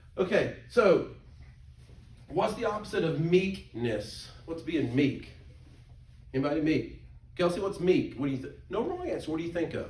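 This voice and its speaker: With a Southern US accent, a man speaks at a moderate pace in a high pitch, with lively intonation. Long, frequent pauses break up his speech, and echo from the room is audible. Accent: US South. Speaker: pastor teaching Sunday school. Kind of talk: Sunday school class teaching. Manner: animated.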